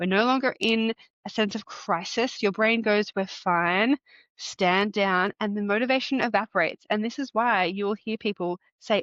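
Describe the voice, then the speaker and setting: A woman talks in an animated tone. Her pitch is fairly high with ordinary variation. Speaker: podcast host, fitness coach. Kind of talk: solo podcast monologue.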